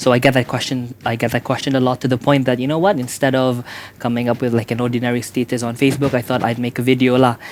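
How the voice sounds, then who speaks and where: A man with a Sabahan accent, very fast and monotone with flat intonation. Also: medium pitch for a man. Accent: Malaysian (Sabahan) English. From Sabah, Malaysia. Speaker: YouTuber. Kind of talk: casual interview chat.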